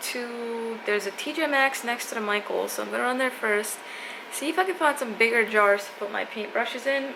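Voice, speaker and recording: A woman with a fairly high pitch talks at a moderate pace as noticeable background noise carries on. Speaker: artist vlogger. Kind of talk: casual vlog chat. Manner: casual with many fillers.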